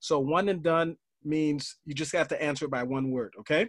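A man talks at a moderate pace against a quiet background. The sound is dry, with no echo. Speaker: podcast host and motivational coach; podcast host, motivational coach. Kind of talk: casual interview. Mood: upbeat, friendly. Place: home room. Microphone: studio mic.

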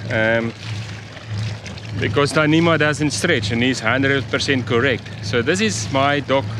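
A man speaks at a fairly slow pace and medium pitch, with ordinary pitch variation. Background noise is clear.

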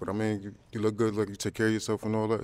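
A man at a very fast pace, dry sound with no echo. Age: 30s. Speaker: fitness instructor and poet, dating show contestant. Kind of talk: dating show conversation. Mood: polite, complimentary. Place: studio. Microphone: handheld.

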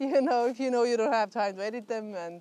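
A woman is speaking. The sound is dry with no echo. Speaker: beekeeper vlogger. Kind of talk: casual vlog chat. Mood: relaxed, cheerful, laughing. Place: garden.

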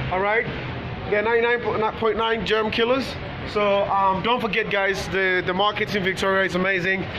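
The voice is raised and projected, moving at a moderate pace. Noticeable noise sits in the background. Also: man. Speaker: vlogger. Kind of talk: casual vlog chat. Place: market. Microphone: phone near.

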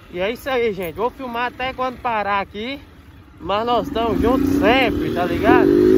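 A man with an extremely high pitch and lively intonation at a moderate pace, dry sound with no echo, and loud background noise. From Brazil. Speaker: motovlogger. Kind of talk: motovlog narration while riding. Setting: outdoors on a motorcycle, wearing a helmet. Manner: casual, animated. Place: motorbike. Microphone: phone near.

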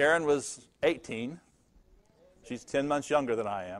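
The background is quiet. A man talks at a moderate pace, his pitch varying in an ordinary way. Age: 60s. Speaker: pastor. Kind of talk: sermon. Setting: church. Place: church.

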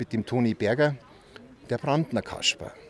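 Over light background noise and in a dry sound with no echo, a man speaks at a very fast pace in a medium pitch with ordinary pitch variation. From Bavaria, Freising; Bavaria. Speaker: eyewitness, former school newspaper editor; interviewee. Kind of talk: storytelling interview. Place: street. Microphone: handheld.

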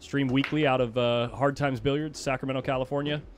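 A man talks at a fairly quick pace with fairly even intonation. Light background noise can be heard. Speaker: stream commentator. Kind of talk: commentary.

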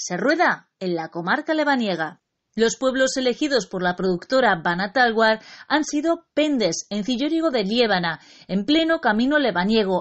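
A woman speaks with a fairly high pitch and very wide pitch swings. Her pace is moderate. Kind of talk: news-style narration.

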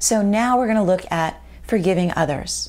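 A woman speaks at a fairly quick pace in a warm tone, her pitch varying in an ordinary way. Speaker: video host and life coach. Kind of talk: guided meditation and journaling exercise. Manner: warm and encouraging. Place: home room.

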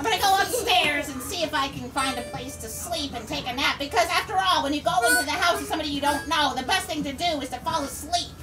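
A woman uses a cartoonish character voice, high and at a very fast pace. Clear music plays in the background. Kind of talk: live puppet show. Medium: puppet. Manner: playful, comic.

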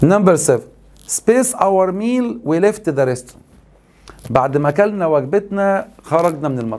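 A man with an Egyptian accent speaks at a moderate pace, his high voice making very wide pitch swings. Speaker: English teacher. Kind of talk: lecture. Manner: animated. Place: studio.

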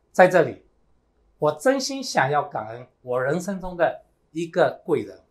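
A man's high voice at a fairly slow pace, with very wide pitch swings and big swings in loudness, over a quiet background. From Myanmar. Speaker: network marketing team leader. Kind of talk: motivational seminar speech. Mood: grateful, earnest. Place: studio.

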